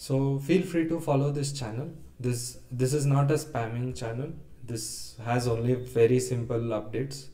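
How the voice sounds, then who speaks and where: A man with a South Indian accent speaks at a moderate pace in a medium pitch, his intonation fairly even. His tone is dark and mellow, and audible room echo surrounds the voice. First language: Kannada. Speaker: data engineer presenting a tax reform idea. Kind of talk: webinar presentation. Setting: live webinar. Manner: hesitant, many fillers.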